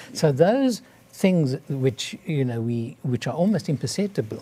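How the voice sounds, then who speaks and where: Somewhat breathy and dark, mellow in tone, a man talks at a fairly slow pace with a fairly high pitch and very wide pitch swings. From South Africa. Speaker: cardiologist. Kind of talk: interview. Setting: studio.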